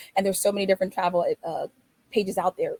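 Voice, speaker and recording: Breathy to some degree, a woman's voice with a dark, mellow tone comes through dry and close, with no echo. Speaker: travel business owner. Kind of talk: webinar presentation. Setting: online webinar. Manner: fast.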